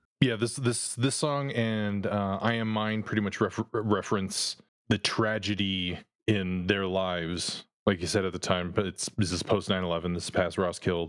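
His intonation is fairly even and his pace moderate. This man uses a normal speaking voice with a fairly low pitch. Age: 50s. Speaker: podcast host. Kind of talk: casual chat.

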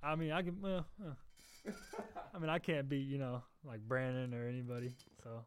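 This is a man with a plain, everyday voice and fairly high pitch. He talks at a moderate pace with ordinary pitch variation. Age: 20s. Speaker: college basketball player. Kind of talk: casual chat. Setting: studio.

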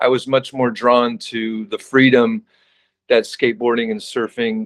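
A man with a Californian accent at a moderate pace, in a dry, close sound with no echo. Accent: Californian American. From Southern California. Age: 50s. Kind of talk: interview. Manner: halting.

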